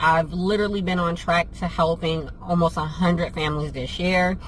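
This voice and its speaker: A woman with an American accent speaks at a moderate pace. Her pitch sits fairly low. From New Jersey and Pennsylvania. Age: 30s. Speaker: vlogger and travel business owner. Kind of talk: casual Q&A vlog.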